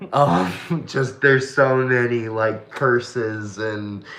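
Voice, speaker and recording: Audible room echo and noticeable background noise around a man's speech. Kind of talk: casual chat.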